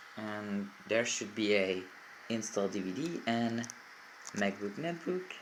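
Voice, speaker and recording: A man speaks with a Czech accent at a fairly low pitch. His intonation is lively. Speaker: tech YouTuber. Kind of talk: tutorial. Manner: halting.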